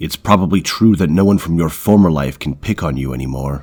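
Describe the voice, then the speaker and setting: A man growls in a put-on character voice with a very deep, low pitch. He delivers it at a fairly quick pace. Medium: read story. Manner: commanding, grave.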